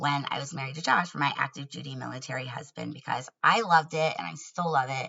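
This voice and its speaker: A woman's very deep, low voice with vocal fry. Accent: American. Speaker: YouTuber. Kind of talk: casual vlog monologue.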